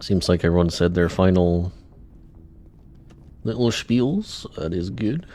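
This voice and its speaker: Very deep and low in pitch, a man speaks quietly with a dark, mellow tone at a fairly slow pace, using ordinary pitch variation and long, frequent pauses. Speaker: game streamer. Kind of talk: gameplay commentary. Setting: live stream at home. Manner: casual, chatty; quiet, close to mic.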